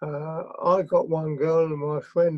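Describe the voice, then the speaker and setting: In an English accent, a man with a fairly high pitch talks very slowly in a flat, monotone way. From England. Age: 70s. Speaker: interview guest recounting his life. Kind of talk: interview. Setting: video call. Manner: halting. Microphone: connection issues.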